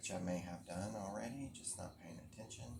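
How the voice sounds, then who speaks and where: A soft-spoken man talks at a moderate pace in a fairly low pitch with vocal fry. There is audible room echo. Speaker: crafting vlogger. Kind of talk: casual chat.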